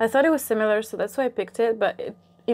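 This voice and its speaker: Her voice has a dark, mellow tone and ordinary pitch variation. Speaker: mukbang creator. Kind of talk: casual vlog chat. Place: home room.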